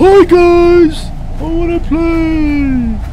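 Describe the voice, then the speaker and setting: Someone performs a put-on character voice at an extremely high pitch. Clear background noise is present. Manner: silly, stupid-sounding.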